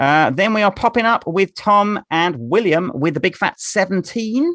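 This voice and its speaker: A man with an English accent and a high pitch speaks with lively intonation, very even loudness and a bright, sharp tone, in a dry, close sound with no echo and a very clean recording with a silent background. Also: moderate pace. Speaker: quiz host. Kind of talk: casual chat. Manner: halting.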